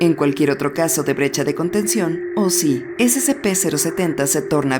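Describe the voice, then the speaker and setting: Over music in the background, a woman speaks at a moderate pace in a fairly low pitch, with very wide pitch swings. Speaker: horror and SCP narrator. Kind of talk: SCP file narration. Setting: older home recording.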